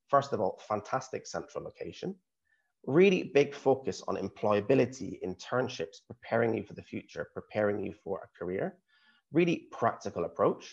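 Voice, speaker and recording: A Scottish accent at a moderate pace. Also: man. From Scotland, small town. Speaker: university recruitment representative. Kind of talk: presentation.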